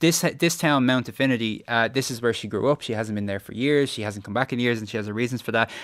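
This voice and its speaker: Talking very fast with hardly any pauses, a man keeps a medium pitch and ordinary pitch variation on a very clean recording with a silent background. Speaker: television critic. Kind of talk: review discussion.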